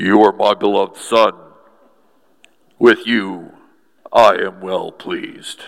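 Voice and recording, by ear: A man's put-on character voice at a fairly slow pace, with long, frequent pauses.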